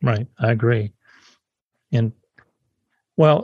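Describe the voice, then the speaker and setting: A man speaks at a moderate pace in a somewhat breathy voice with ordinary pitch variation. The sound is dry and close, with no echo. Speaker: podcast host. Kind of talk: interview conversation.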